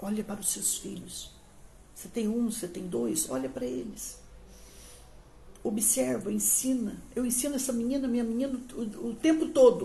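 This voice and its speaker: There are long, frequent pauses as a woman talks with a fairly high pitch, a dark, mellow tone and vocal fry, her loudness swinging widely amid audible room echo. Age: 60s. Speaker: pastor. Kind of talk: sermon. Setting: livestream on social media.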